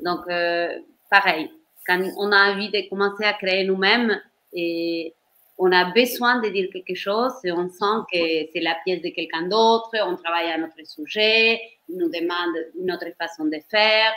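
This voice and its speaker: Woman of medium pitch with a slight Argentine accent, ordinary pitch variation and a fairly slow pace. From Argentina. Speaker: professional dancer and choreographer. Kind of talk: interview on career. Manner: halting, with false starts.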